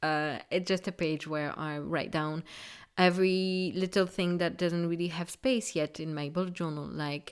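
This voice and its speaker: A woman speaks with a French accent at a fairly low pitch. Her intonation stays fairly even. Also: very clean recording, silent background. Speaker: craft YouTuber. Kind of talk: tutorial. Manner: hesitant, with fillers.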